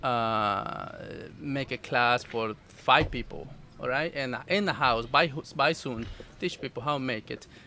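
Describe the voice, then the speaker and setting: Speaking fairly slowly with a Salvadoran accent, a man uses a medium pitch, a bright, sharp tone and ordinary pitch variation. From El Salvador. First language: Spanish. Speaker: food business owner. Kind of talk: casual interview. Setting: outdoors at festival. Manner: halting, many fillers.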